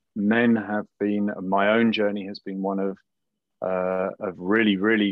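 Fairly slow, monotone and flat, a man's fairly low voice in a southern English accent. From southern England, around London. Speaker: somatic coach and sexologist. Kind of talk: podcast interview.

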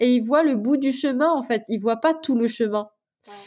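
A high female voice with lively intonation at a moderate pace. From Mauritius. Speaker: food blogger. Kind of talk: interview.

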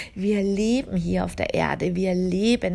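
Her medium-pitched voice carries a warm, gentle tone as a woman speaks. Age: 40s. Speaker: spiritual healer and podcast host. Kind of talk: spiritual monologue. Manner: warm, gentle address; hesitant fillers.

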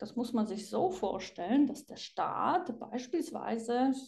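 A woman speaks at a very slow pace in a fairly high voice. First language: Polish (speaking German). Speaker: psychiatrist and author. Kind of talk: interview.

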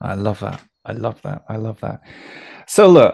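A man with a British accent and medium pitch speaks at a moderate pace, the sound dry and close with no echo. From UK. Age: 40s. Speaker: podcast host. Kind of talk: interview conversation. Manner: hesitant, repeats words.

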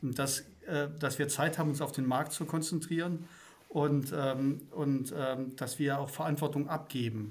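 Fairly high-pitched and somewhat breathy, a man speaks at a fairly slow pace with fairly even intonation amid audible room echo. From Swabia, southern Germany. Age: 50s. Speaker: company managing director. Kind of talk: casual interview chat.

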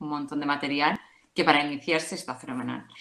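A woman speaking at a fairly quick pace. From Madrid, Spain. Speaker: mother giving testimony. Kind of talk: testimony.

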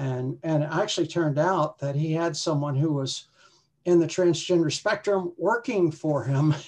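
Here is a woman with a normal speaking voice and an American accent, fairly low in pitch with ordinary pitch variation. She talks at a moderate pace over a quiet background. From West Virginia, US. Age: 60s. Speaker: retired hiker. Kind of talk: casual interview chat.

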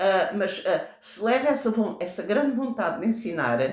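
Audible room echo around a woman at a fairly high pitch, moderate pace and ordinary pitch variation. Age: 70s. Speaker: retired teacher, founder of an education association. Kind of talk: interview. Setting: on location at a school. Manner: halting.

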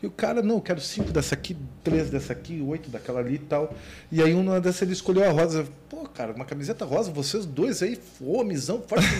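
A man talks very fast at a fairly high pitch with lively intonation. Background noise is noticeable. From Porto Alegre, southern Brazil. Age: 40s. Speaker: business owner. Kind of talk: casual interview chat.

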